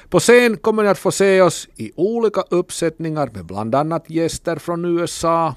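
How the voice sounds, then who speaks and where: A man with an Ostrobothnian accent speaks at a moderate pace with lively intonation and a fairly high pitch. The recording is very clean with a silent background, dry and close with no echo. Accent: Finland-Swedish, Ostrobothnian dialect. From Ostrobothnia, Finland (Kokkola). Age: 40s. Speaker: musician. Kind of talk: radio monologue.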